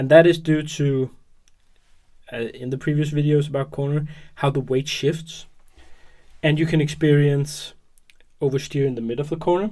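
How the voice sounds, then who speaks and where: Mumbling at a moderate pace, the speaker leaves long, frequent pauses. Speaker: hobby tutorial youtuber. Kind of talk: tutorial. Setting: at work. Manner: hesitant with fillers.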